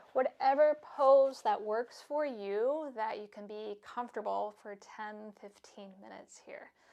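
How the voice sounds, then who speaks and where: A woman at a fairly slow pace, fairly high pitch, ordinary pitch variation and big swings in loudness. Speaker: yoga instructor. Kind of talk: yoga class instruction; guided meditation. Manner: soft-spoken.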